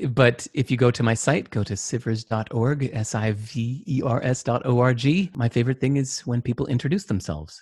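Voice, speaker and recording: A man talks at a medium pitch with ordinary pitch variation and a somewhat breathy sound. His pace is fairly quick, with hardly any pauses. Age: 50s. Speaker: entrepreneur and author. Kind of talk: casual interview. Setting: video call.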